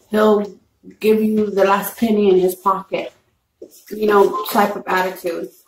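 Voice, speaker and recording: A woman with an American accent talks fairly slowly in a flat monotone, leaving long, frequent pauses, amid audible room echo and light background noise. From Texas, San Antonio; Texas. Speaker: mukbang YouTuber; mukbang vlogger. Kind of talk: casual chat. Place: home room. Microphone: camera far.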